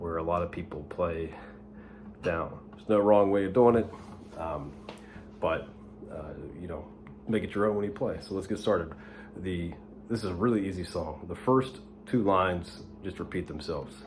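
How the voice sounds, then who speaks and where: Moderate pace with long, frequent pauses, ordinary pitch variation and audible room echo. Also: man, very deep, low pitch for a man. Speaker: guitar teacher. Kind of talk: tutorial. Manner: whispering, soft; hesitant, many fillers.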